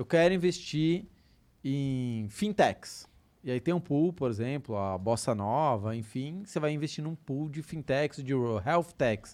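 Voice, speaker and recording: A man with a plain, everyday voice speaks at a fairly slow pace with lively intonation. The background is quiet. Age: 30s. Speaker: personal finance educator. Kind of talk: casual podcast interview.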